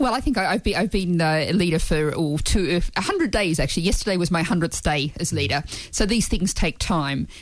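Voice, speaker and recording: A woman speaks at a fairly quick pace in a fairly low pitch. Her intonation is lively and her loudness very even. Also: hardly any pauses. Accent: Australian. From Australia. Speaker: party leader, politician. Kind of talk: radio interview.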